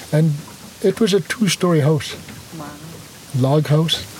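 The man's pitch is fairly high. Background noise is noticeable. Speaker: First Nation chief. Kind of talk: interview. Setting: outdoors on a boat.

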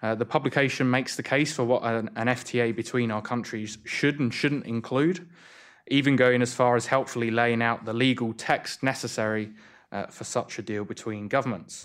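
In a very clean recording with a silent background, a man with a British accent speaks at a medium pitch and a moderate pace with fairly even intonation. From UK. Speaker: think tank economist and moderator. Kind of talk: event moderation. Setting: stage with audience.

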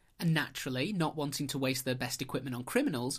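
In a northern English accent, the speaker talks at a very fast pace with a playful tone. The recording is very clean, with a silent background. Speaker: podcast host. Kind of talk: casual chat, storytelling. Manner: playful, joking.

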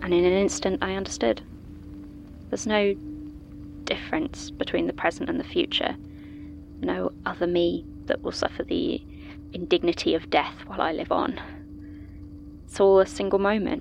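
Over music in the background, a woman talks at a moderate pace with long, frequent pauses. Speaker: fictional statement giver telling her story. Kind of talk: ghost story telling, first-person scripted horror narration of a past ordeal. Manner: hushed, hesitant, then tense and shaken as the fear builds.

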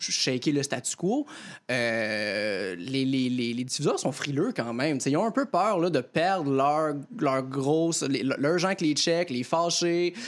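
Lively in intonation, a man speaks with a fairly high pitch at a very slow pace. The recording is very clean, with a silent background. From Quebec, Lanaudière near Joliette. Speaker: comedian. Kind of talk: panel discussion.

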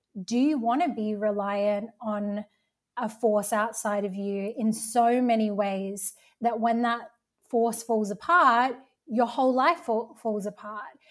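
Speaking fairly slowly, a woman has an unremarkable speaking voice, fairly high in pitch, with fairly even intonation. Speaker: healing practitioner. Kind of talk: roundtable conversation.

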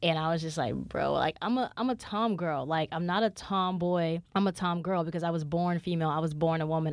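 A very clean recording with a silent background, a normal speaking voice at a fairly quick pace with ordinary pitch variation. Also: woman. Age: 20s. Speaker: podcast host. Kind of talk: solo podcast monologue, casual chat.

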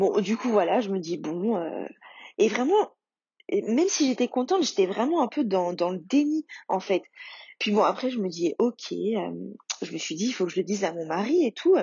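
A woman with a fairly high pitch and a somewhat breathy voice speaks at a moderate pace, with very wide pitch swings and long, frequent pauses. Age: 30s. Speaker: mother sharing fertility journey. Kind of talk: testimony.

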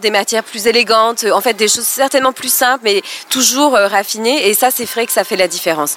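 A woman's fairly high-pitched voice at a fairly quick pace with ordinary pitch variation, over noticeable background noise. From southeastern France (Côte d'Azur). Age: 30s. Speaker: former notary, expat mother. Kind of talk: casual chat. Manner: hesitant, with fillers.

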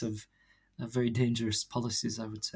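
On a very clean recording with a silent background, a man with a medium pitch talks at a fairly quick pace in a somewhat breathy voice. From Jerusalem. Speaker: theologian and journal co-editor. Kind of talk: interview. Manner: halting, many fillers and repetitions.

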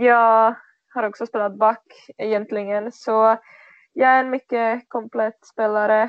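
In a Czech accent, a woman speaks very slowly at a fairly high pitch with monotone, flat intonation. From Czech Republic. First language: Czech (speaking Swedish). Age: 20s. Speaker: floorball player. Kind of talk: interview. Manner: halting.

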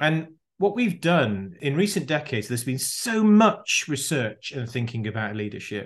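A man speaks with a British accent and very wide pitch swings. The background is quiet. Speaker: leadership consultant. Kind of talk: interview.

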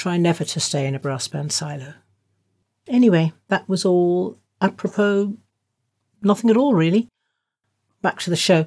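A somewhat breathy woman of medium pitch at a moderate pace, with long, frequent pauses. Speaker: radio host. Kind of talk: radio presenting, music show.

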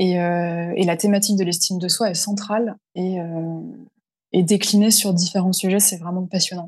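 Over a quiet background, a woman speaks with monotone, flat intonation. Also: medium pitch for a woman, moderate pace. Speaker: freelance LinkedIn communications consultant. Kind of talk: interview.

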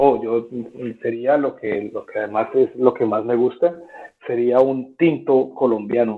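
A man with a medium pitch speaks fairly slowly, his pitch varying in an ordinary way. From Colombia. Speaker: football league content manager. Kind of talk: interview. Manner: halting, many repetitions.

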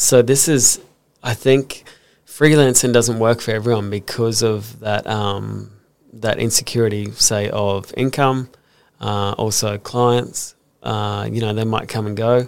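A man speaks with an Australian accent. His pitch is medium and his intonation fairly even. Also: fairly slow pace. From Brisbane, Australia. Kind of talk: casual interview. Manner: hesitant, many fillers.

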